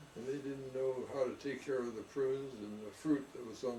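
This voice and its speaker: A man at a moderate pace and medium pitch, dark and mellow in tone, with monotone, flat intonation and audible room echo. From California, San Jose. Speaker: orchardist. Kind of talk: oral history interview.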